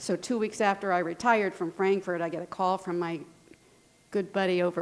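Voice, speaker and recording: Pitched in a medium range, a woman's voice moves at a moderate pace. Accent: American. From Indiana, Lafayette. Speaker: retired music teacher. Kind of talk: award acceptance speech. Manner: animated.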